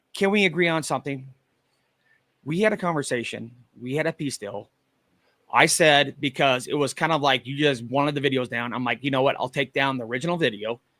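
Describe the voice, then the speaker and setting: Loud and at a fairly quick pace, a man speaks with a fairly high pitch, ordinary pitch variation and a bright, sharp tone, in a very clean recording with a silent background and a dry, close sound with no echo. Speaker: live streamer, paranormal investigator. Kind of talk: heated debate.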